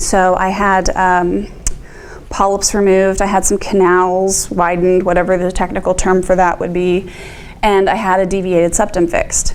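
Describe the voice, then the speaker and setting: A woman's medium-pitched voice at a moderate pace, flat and monotone, very even in loudness, with audible room echo. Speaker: vestibular disorder patient speaking to nursing students. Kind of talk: talk to students with Q&A. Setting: classroom talk, being taped. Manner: hesitant, many ums.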